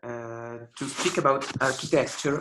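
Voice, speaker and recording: Here a man with an Italian accent talks at a very slow pace. His pitch sits at a medium level. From Italy, Rome. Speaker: architecture lecturer. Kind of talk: online lecture. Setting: video call. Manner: halting, many fillers.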